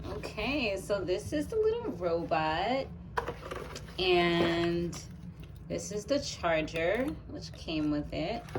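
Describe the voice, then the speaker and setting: A woman with an American accent speaks in a fairly low voice with lively intonation. Noticeable background noise and audible room echo surround her. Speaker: YouTuber. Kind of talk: unboxing tutorial. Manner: casual, hesitant with fillers.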